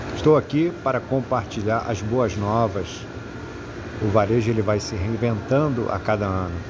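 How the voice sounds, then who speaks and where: A moderate pace with ordinary pitch variation, plus audible room echo and noticeable background noise. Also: man, medium pitch for a man. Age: 50s. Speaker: podcast host, retail business consultant. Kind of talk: podcast introduction monologue.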